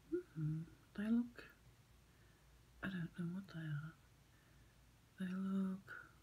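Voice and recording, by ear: Very slowly, a woman speaks at a medium pitch with long, frequent pauses and ordinary pitch variation. Her tone is dark and mellow, and somewhat breathy.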